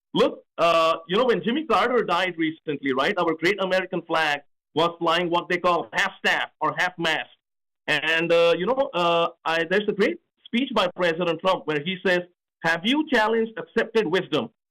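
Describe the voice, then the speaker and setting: A man with a high pitch and a bright, sharp tone speaks at a moderate pace, with very even loudness and ordinary pitch variation. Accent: slight Indian. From India. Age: 40s. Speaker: presidential candidate. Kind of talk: radio interview. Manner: halting, many fillers.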